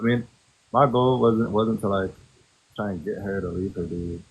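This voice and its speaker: A man with fairly low pitch, speaking at a fairly quick pace. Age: 30s. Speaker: reality TV contestant. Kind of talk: casual chat. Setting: TikTok live stream. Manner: soft-spoken; laid back.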